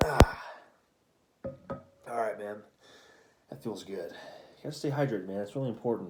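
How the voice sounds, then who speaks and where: Amid noticeable background noise and audible room echo, a man speaks at medium pitch and a moderate pace. His loudness swings widely, his pitch variation is ordinary, and his pauses are long and frequent. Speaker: vlogger. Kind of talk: casual chat. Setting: at home at night. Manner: hushed.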